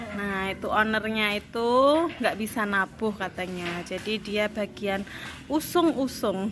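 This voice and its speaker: Fairly slow and with ordinary pitch variation, a woman speaks. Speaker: midwife vlogger. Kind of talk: casual vlog chat. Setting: arts studio with gamelan group.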